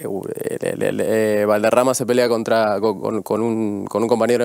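A man keeps a moderate pace while noticeable noise hums behind him. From Argentina. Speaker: business owner. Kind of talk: casual talk show chat. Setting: TV studio.

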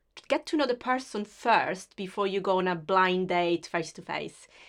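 Over a quiet background, a woman with an Italian accent speaks at a fairly slow pace. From Sicily, Italy. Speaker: web design business owner. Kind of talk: interview. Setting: video call.

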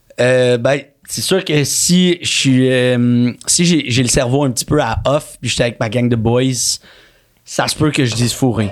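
His words come out at a very slow pace. This man's voice is medium in pitch. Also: ordinary pitch variation. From Quebec, Montreal. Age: 30s. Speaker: actor. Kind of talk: casual chat.

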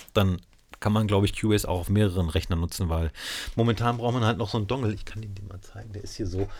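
A man with a fairly low, somewhat breathy voice talks at a very fast pace, his loudness swinging widely while his intonation stays fairly even, on a very clean recording with a silent background. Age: 40s. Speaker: DJ and podcast host. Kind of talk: casual interview. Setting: studio.

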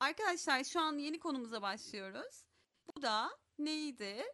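Projecting loudly in a high, bright, sharp voice, a woman talks at a very slow pace with lively intonation. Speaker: English teacher. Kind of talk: online language class.

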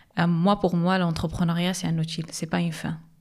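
A woman talks at a fairly low pitch, her intonation fairly even. The background is silent on this very clean recording. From Morocco, Agadir. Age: young. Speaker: social entrepreneur. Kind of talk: interview. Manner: halting.

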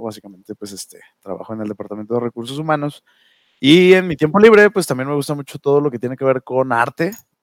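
A man at a very fast pace, with lively intonation and big swings in loudness, in a dry, close sound with no echo. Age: 20s. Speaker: podcast co-host, HR worker. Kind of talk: casual chat.

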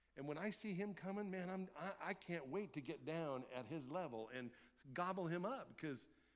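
With audible room echo, a man speaks at a moderate pace in a high, animated voice with lively intonation. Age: 50s. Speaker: pastor. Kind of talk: sermon. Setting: church.

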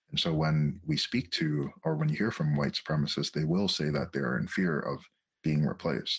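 This man's voice sits very deep and low, with vocal fry, very even loudness and ordinary pitch variation. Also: moderate pace. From Quebec. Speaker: psychotherapist. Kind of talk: interview.

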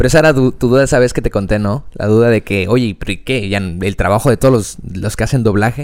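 Talking at a very fast pace, a man with a Mexican accent keeps a medium pitch and ordinary pitch variation. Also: hardly any pauses. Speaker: podcast co-host. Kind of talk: casual chat.

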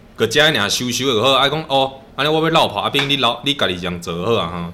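A man talks at a very fast pace with very wide pitch swings. Noticeable background noise can be heard. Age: 30s. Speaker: masonry worker. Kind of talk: casual chat.

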